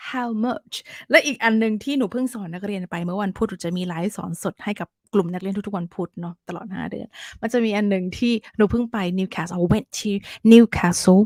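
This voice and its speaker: A woman speaks at medium pitch in an animated tone, with ordinary pitch variation and big swings in loudness. The recording is very clean with a silent background, and the sound is dry and close with no echo. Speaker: English teacher. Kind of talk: tutorial. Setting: live stream.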